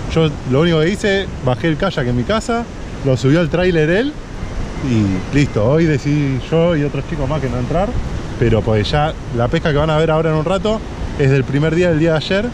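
Lively intonation marks a man's speech, broken by long, frequent pauses. Noticeable background noise sits under a dry sound with no echo. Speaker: kayak fishing vlogger. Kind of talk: casual vlog chat. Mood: cheerful, enthusiastic. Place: beach. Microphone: phone near.

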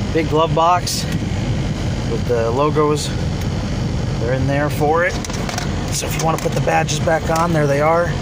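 The speech moves at a moderate pace with long, frequent pauses over loud background noise. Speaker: car seller. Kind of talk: walkaround commentary. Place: car. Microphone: phone near.

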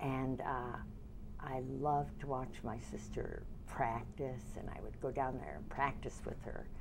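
A woman speaks at a fairly slow pace with an American accent. Noticeable background noise runs underneath. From US Midwest, Detroit. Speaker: dance teacher. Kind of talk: oral history interview. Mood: warm, smiling reminiscence. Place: studio.

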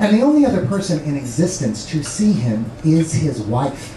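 Amid light background noise and audible room echo, a man speaks at a moderate pace in an animated tone with very wide pitch swings. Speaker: stand-up comedian. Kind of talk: stand-up comedy with live audience, joke-telling. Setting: comedy club stage with audience. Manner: animated, punchline-driven, pausing for laughs. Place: stage.

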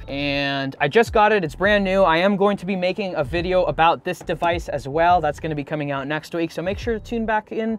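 At a fairly quick pace, a man talks in a high pitch. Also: ordinary pitch variation, hardly any pauses, dry sound with no echo. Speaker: camping vlogger. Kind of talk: casual vlog chat showing gear. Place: car.

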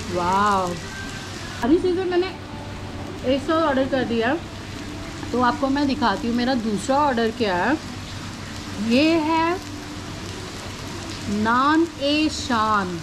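A woman with a high pitch speaks at a very slow pace, leaving long, frequent pauses, while noticeable background noise runs behind her. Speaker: food vlogger. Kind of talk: casual vlog chat. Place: cafe.

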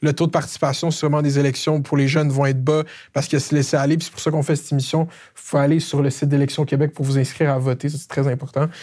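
Very fast and monotone, a man speaks at a fairly high pitch with flat intonation. His dark, mellow tone is somewhat breathy, and the background is quiet. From Quebec, Laval; Quebec. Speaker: comedian interviewer, YouTube host. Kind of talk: political interview. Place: studio. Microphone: lapel.

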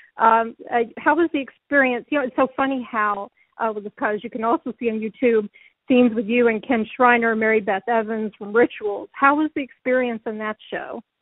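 A woman with an unremarkable speaking voice and fairly high pitch uses fairly even intonation. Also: moderate pace. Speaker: interviewer. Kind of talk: interview question.

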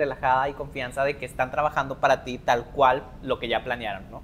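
Over faint background music, a man talks at a fairly quick pace in a fairly high pitch. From Mexico, Linares, Nuevo León; Nuevo León, Mexico. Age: 30s. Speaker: wedding planner; guest. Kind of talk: interview. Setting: live podcast before student audience. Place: classroom. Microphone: lapel.

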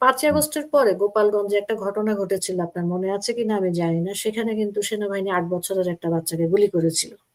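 Using a plain, everyday voice, a woman speaks at medium pitch with ordinary pitch variation. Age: middle-aged. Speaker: writer and activist. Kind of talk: political commentary.

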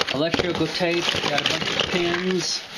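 Noticeable background noise accompanies speech that unfolds at a fairly slow pace. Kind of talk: casual vlog chat. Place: home room. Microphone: phone near.

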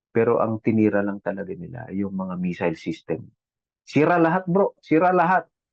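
A man talks at a fairly quick pace in a medium pitch. His pitch swings very widely. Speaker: overseas Filipino worker, caregiver. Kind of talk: casual chat. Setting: video call.

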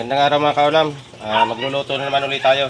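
A man talks at a very fast pace and a fairly high pitch. Background noise is noticeable. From Bicol, Philippines. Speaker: cooking vlogger. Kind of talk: cooking tutorial. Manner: casual, hesitant with many fillers.

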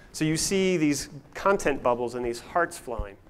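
A man talks at a moderate pace with a fairly high pitch. His intonation is lively.

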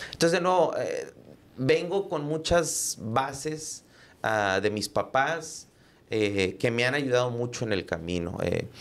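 A man's very slow speech with very wide pitch swings. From Texas border, Rio Grande Valley; Texas. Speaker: entrepreneur and podcaster; podcaster. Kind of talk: casual interview chat. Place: studio. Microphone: studio mic.

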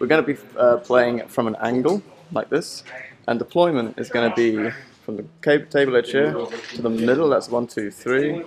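A man's moderate-paced speech shows ordinary pitch variation, with noticeable noise in the background. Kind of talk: commentary. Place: hall. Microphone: phone near.

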